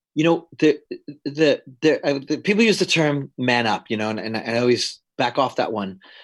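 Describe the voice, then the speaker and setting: At a moderate pace and against a quiet background, a man with an American accent and an unremarkable speaking voice talks at a fairly high pitch with lively intonation. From New York. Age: 50s. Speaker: men's group leader. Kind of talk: casual chat.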